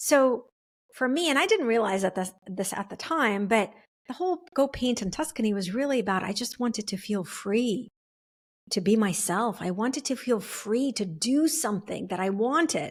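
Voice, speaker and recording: A woman's somewhat breathy, fairly high voice moves at a moderate pace with lively intonation on a very clean recording with a silent background. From refugee to the US, English second language. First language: not English. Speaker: podcast host, speaker and author. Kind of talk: reflective personal monologue. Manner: casual, with frequent fillers and restarts.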